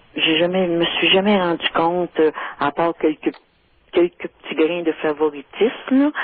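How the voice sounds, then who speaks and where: With a fairly low pitch, a woman talks at a very slow pace. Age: 70s. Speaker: caller. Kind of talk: phone-in radio conversation. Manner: hesitant, many fillers.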